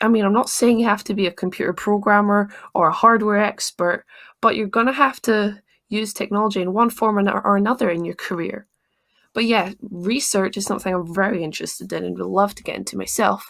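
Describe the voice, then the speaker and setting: Her loudness swinging widely, a woman speaks at a fairly quick pace in a medium pitch with fairly even intonation. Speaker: tech YouTuber. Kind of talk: casual talk to camera. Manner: fast.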